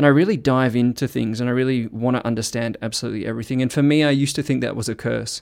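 In a very clean recording with a silent background, a man at medium pitch speaks at a very fast pace with hardly any pauses. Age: 30s. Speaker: relationship trauma coach. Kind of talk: solo podcast monologue.

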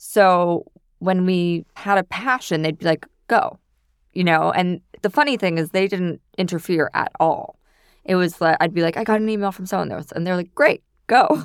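On a very clean recording with a silent background, a woman speaks in a normal speaking voice with an American accent. Her pitch is medium, with ordinary variation. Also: moderate pace, dry, close sound with no echo. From New York City. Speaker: food stylist. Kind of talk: interview.

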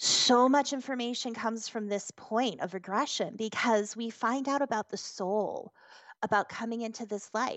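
With an American accent, a woman talks in an unremarkable speaking voice, fairly high in pitch and fairly even in intonation. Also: moderate pace. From US New Hampshire. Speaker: hypnotherapist. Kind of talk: interview.

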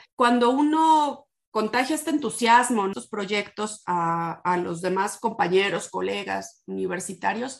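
The speaker goes at a fairly slow pace with hardly any pauses. The background is quiet. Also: woman, medium pitch for a woman. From Morelia, Michoacán, Mexico. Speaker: history professor and researcher. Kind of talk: interview. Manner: halting.

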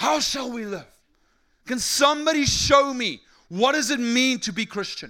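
A man with a South African accent speaks in a raised, projected voice at an extremely high pitch. His tone is bright and sharp, and his intonation is lively. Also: very clean recording, silent background. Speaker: preacher. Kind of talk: sermon. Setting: stage with audience. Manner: animated.

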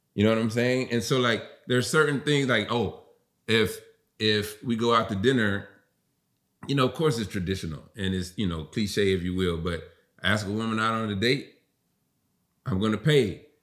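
A man with a fairly low pitch and an American accent talks at a moderate pace, with ordinary pitch variation and long, frequent pauses. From US South. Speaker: podcast guest. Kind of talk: casual chat.

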